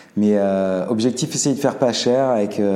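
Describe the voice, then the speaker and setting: A moderate pace and fairly even intonation, with audible room echo. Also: man. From Alsace, Colmar. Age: 40s. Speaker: restaurant owner, former engineer. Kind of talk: casual interview chat. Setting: in his restaurant.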